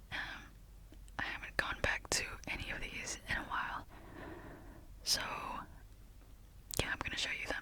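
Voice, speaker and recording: Whispering broken by long, frequent pauses, with noticeable background noise behind it. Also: moderate pace. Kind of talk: ASMR close-up whispered talk about hobbies, tapping. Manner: soft, friendly, rambling.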